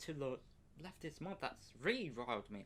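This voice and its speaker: An angry man with a British accent speaks with very wide pitch swings. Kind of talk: political rant to camera. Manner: angry, profane.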